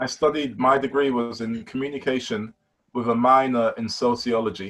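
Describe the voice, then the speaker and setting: At a moderate pace, the speaker uses fairly even intonation in a British accent. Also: man, medium pitch for a man. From London, East London. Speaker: basketball player. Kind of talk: casual interview.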